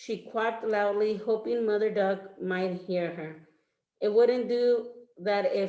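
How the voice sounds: Quiet surroundings and a natural reading voice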